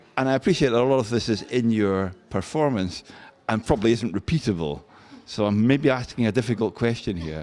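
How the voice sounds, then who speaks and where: Speaking at a fairly quick pace, a man uses medium pitch and lively intonation. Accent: Scottish. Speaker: radio host. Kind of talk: interview.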